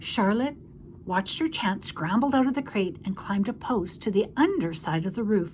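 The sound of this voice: An unforced reading voice delivers the text with lively intonation.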